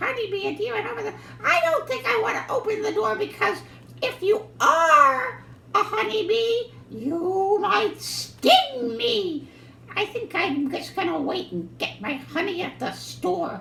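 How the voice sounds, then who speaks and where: Extremely high and swinging very widely in pitch, a cartoonish character voice moves at a fairly slow pace over clear background noise. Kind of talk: children's puppet show.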